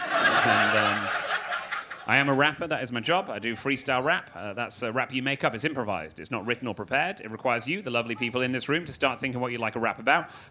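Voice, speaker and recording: Against noticeable background noise, a man with a Manchester accent talks very fast at a medium pitch with lively intonation. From Manchester, England. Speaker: comedian and freestyle rapper. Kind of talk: stand-up comedy set.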